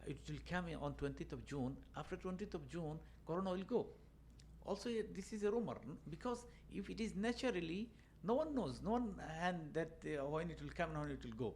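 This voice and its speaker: At a fairly quick pace, a man talks with a Bangladeshi accent. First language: Bengali. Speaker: banking and finance adviser. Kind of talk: casual chat. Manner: halting, many fillers.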